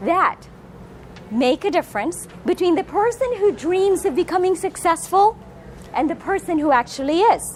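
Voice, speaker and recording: Over noticeable background noise, a woman talks at a moderate pace in an extremely high voice, her animated tone carried by very wide pitch swings. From Philippines. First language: Filipino/Tagalog. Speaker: motivational speaker. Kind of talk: public speaking talk. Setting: room with live audience, filmed.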